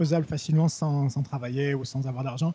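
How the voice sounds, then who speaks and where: A man's fairly high voice with a dark, mellow tone, somewhat breathy, at a fairly quick pace with ordinary pitch variation. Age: 40s. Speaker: French teacher and translator. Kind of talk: casual interview. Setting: indoors, in person.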